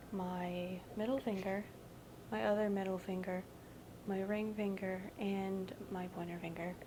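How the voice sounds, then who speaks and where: A woman speaks very slowly at a medium pitch with fairly even intonation. Noticeable background noise runs underneath. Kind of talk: ASMR rambling to camera. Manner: soft-spoken, rambling, self-deprecating.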